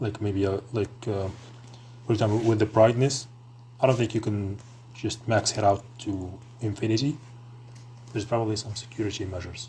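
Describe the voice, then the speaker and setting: Somewhat breathy and dark, mellow in tone, a man at medium pitch speaks at a fairly quick pace in a flat monotone, with long, frequent pauses. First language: non-English. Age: 20s. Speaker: tech streamer. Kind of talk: casual chat. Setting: live stream. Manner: hesitant, many fillers.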